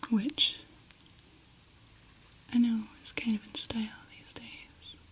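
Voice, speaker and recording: Very slow whispering against noticeable background noise. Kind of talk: ASMR roleplay. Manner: whispered, soft-spoken.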